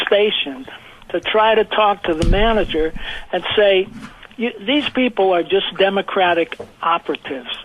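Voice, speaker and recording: Noticeable background noise accompanies moderate-paced speech in an American accent. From US Northeast, New Jersey. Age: 80s+. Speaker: caller. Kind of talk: radio call-in.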